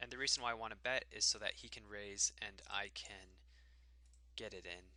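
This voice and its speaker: A moderate pace with big swings in loudness. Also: man. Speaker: poker player. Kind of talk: live commentary. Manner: many filler ums.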